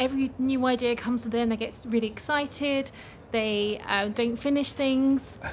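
A woman talks at a moderate pace in an English accent, her pitch high. Her intonation stays fairly even, and her loudness is very even. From England. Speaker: project manager and business coach. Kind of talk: casual interview. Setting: conference speakers' lounge.

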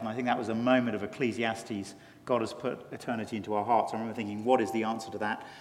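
There is audible room echo as a man speaks with a British accent and fairly even intonation. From England. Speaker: pastor. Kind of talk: conference interview.

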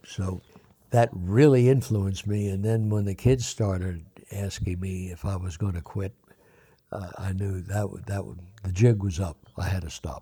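This man's fairly low voice has a dark, mellow tone, sounds somewhat breathy, and swings widely in loudness. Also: ordinary pitch variation, moderate pace. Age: 80s+. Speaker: recovery guest sharing story. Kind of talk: casual interview. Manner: halting.

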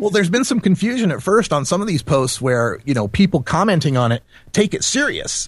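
Someone with an American accent speaks at a very fast pace, somewhat breathy, with very wide pitch swings. The background is quiet. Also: man. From Idaho, US. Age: 40s. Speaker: cannabis activist and radio host. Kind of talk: casual interview.

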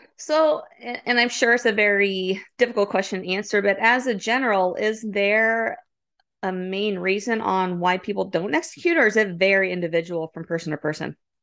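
A woman has an unremarkable speaking voice at medium pitch with ordinary pitch variation. She talks at a moderate pace against a quiet background. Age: 40s. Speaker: podcast host. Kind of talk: casual chat.

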